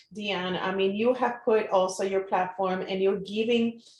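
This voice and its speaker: Someone speaks with a Puerto Rican accent and fairly even intonation. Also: woman. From Puerto Rico. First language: Spanish. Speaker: marketing entrepreneur. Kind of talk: live interview. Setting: Facebook live stream.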